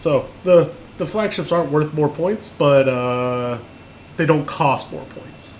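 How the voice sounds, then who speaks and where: Amid noticeable background noise and audible room echo, a man speaks at a very slow pace with ordinary pitch variation and big swings in loudness. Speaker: online game class instructor. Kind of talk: lecture. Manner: halting, many fillers and repeats.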